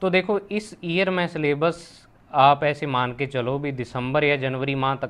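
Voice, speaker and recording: A man speaks with a fairly high pitch and ordinary pitch variation. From Rajasthan, Hanumangarh district; Rajasthan. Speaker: physics teacher. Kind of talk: casual talk to students. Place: home room. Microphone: lapel.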